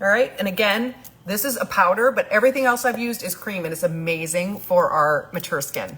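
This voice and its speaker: A woman with an American accent speaks at a fairly quick pace with lively intonation. Noticeable background noise is present. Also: medium pitch for a woman. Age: 60s. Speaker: makeup artist. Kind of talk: livestream makeup tutorial. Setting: live video stream. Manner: casual, chatty.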